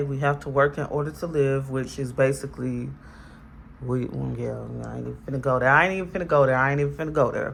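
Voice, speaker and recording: The room echo is audible. A woman's voice carries through it. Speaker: tarot reader. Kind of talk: tarot reading monologue. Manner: halting.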